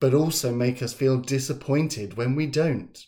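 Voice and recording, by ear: The words are read aloud in a natural voice.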